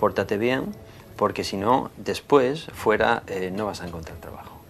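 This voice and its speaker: Speaking at a fairly slow pace, the man has a fairly low pitch. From Asturias, Spain. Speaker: former factory worker and works council member, now artist. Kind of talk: TV interview. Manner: halting, many repetitions and fillers.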